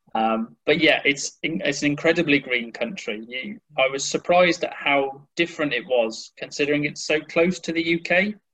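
This man has a West Midlands accent and a bright, sharp tone. His pitch is fairly high, with ordinary variation and a moderate pace. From West Midlands, England (near Birmingham). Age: 20s. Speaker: English teacher. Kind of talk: casual interview.

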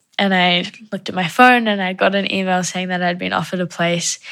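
A woman in a New Zealand accent, medium pitch, fairly even intonation and moderate pace, on a very clean recording with a silent background. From New Zealand, Wellington (moved from South Africa at 8). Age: 20s. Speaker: dance student. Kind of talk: personal interview testimony.

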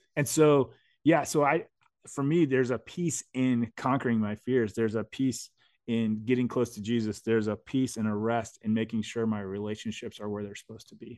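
With an American accent and a plain, everyday voice, a man speaks at medium pitch and a moderate pace in a dry, close sound with no echo. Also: ordinary pitch variation. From US. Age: 40s. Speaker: writer and adventurer. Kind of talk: casual chat.

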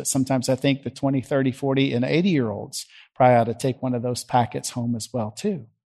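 The background stays quiet as a man talks at a moderate pace. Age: 50s. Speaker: pastor. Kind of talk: sermon.

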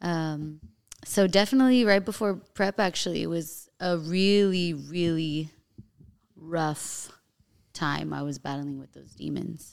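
A woman's ordinary speaking voice in an American accent, fairly low in pitch with ordinary pitch variation, big swings in loudness and a fairly slow pace, on a very clean recording with a silent background. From US, Colombian and Mexican heritage. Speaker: fitness trainer and bodybuilding competitor. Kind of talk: casual chat.

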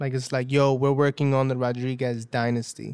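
A man with a New York accent, medium pitch and monotone, flat intonation on a very clean recording with a silent background. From Brooklyn, New York, Dominican family. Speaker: hip-hop artist. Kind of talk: casual chat.

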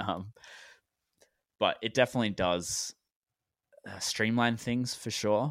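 Fairly even intonation marks this man's speech.

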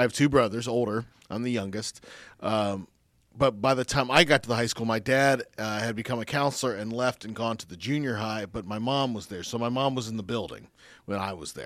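A man with an American accent, medium pitch, ordinary pitch variation and big swings in loudness at a fairly quick pace, on a very clean recording with a silent background. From US Midwest, Dayton, Ohio. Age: 40s. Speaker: former radio station manager. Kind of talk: casual interview.

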